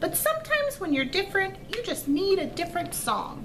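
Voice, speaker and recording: Over loud background noise, a woman puts on a squeaky character voice and speaks at a fairly quick pace. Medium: read story. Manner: polite.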